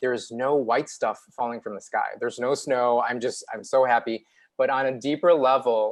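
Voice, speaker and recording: The speaker, with a Chicago accent, keeps a moderate pace and fairly even intonation. The background is quiet. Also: man, medium pitch for a man. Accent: Chicago American English. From US Midwest, Chicago. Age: 40s. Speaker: TV news reporter. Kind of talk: interview. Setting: live online show.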